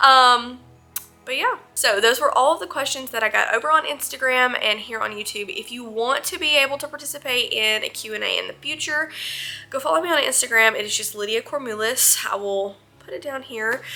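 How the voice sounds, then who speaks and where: A woman speaks in a strong Southern US accent at a fairly quick pace. Her high voice has lively intonation. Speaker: vlogger. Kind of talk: Q&A vlog. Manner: casual, with many fillers.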